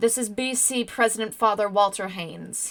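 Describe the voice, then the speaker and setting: A woman puts on a character voice, fairly high in pitch. She speaks at a moderate pace with fairly even intonation. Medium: read story. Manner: authoritative.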